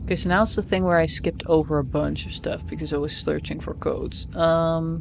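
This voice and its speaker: Delivered at a fairly quick pace, the speech comes over noticeable background noise. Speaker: streamer playing a video game. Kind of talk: gaming livestream, reading in-game text aloud. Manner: fast; occasional stumbles and stutters over words.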